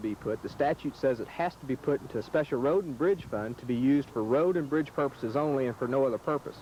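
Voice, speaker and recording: The speaker goes at a fairly quick pace with ordinary pitch variation. Noticeable background noise is present. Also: man. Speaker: attorney. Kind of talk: interview answer.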